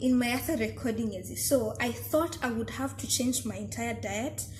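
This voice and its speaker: Speaking at a moderate pace, a woman is heard amid noticeable background noise and audible room echo. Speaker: vlogger. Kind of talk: casual vlog talk. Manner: animated.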